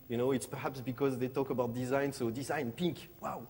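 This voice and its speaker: This man speaks with a French accent. His pitch is fairly high. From Morocco and France. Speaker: designer. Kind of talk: conference presentation. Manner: halting, many fillers.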